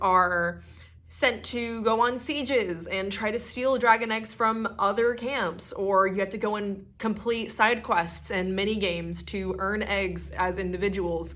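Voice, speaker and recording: A woman speaks at a fairly slow pace in a bright, sharp tone, with ordinary pitch variation and audible room echo. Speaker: YouTuber and cosplayer. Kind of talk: partly scripted vlog monologue. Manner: hesitant, with stutters and fillers; casual, chatty.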